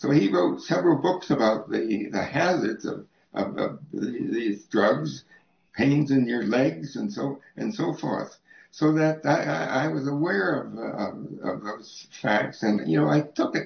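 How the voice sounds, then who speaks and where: Speaking at a very slow pace with vocal fry, a man is heard with audible room echo. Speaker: interviewee. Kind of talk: interview answer. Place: home room.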